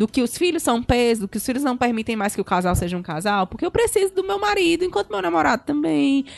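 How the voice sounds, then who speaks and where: A woman with a fairly high voice speaks very fast, her pitch swinging very widely. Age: 30s. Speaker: journalist and master's student. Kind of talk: casual chat.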